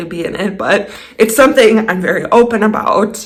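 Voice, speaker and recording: Her medium-pitched voice is somewhat breathy, with ordinary pitch variation at a moderate pace. Audible room echo surrounds the woman. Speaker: DIY home renovation vlogger. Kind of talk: casual vlog narration. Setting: indoors at home.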